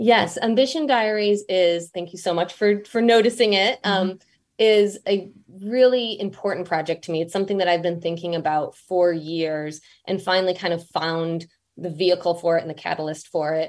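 A woman with an ordinary speaking voice and an American accent talks at a moderate pace, her medium pitch showing ordinary variation, on a very clean recording with a silent background. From Michigan, US Midwest. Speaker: magazine editor and podcast host. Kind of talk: interview conversation.

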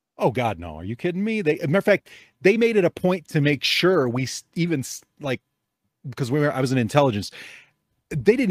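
In a very clean recording with a silent background and a dry, close sound with no echo, a man speaks very fast with an American accent. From Chicago area, US Midwest. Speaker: podcast host. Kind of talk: casual chat. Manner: joking, animated.

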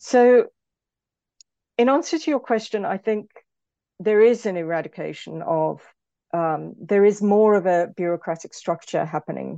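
In a South African accent, a woman speaks at a moderate pace with ordinary pitch variation. Her tone is dark and mellow against a quiet background. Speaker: film and television lecturer, author. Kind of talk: interview about her book.

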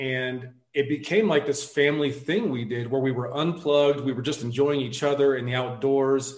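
This man has a normal speaking voice, fairly high in pitch, with an American accent, ordinary pitch variation, a moderate pace and hardly any pauses. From US South, suburban Atlanta. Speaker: army veteran and overlanding blogger. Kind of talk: casual interview chat.

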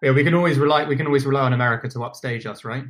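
A man with a British accent, medium pitch and fairly even intonation. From London, England. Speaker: company founder and podcast host. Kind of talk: interview conversation. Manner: hesitant, many fillers.

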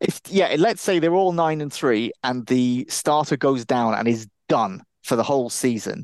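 A man with an unremarkable speaking voice talks at a medium pitch with lively intonation. The sound is dry and close with no echo, over a quiet background. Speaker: podcast co-host, NFL and college football analyst. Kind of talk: casual sports chat.

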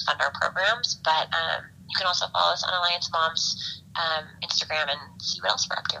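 Over noticeable background noise, a woman with an American accent and a fairly low pitch talks at a fairly quick pace with fairly even intonation. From Los Angeles, US. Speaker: former teacher, mothers' nonprofit member. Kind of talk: interview.

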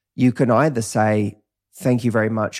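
Speaking in a Cockney accent, a man talks at a fairly quick pace with a fairly low pitch and a dark, mellow tone. His intonation is monotone and flat, and the recording is very clean with a silent background. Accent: Cockney, London English. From east London, England. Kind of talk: casual interview chat.

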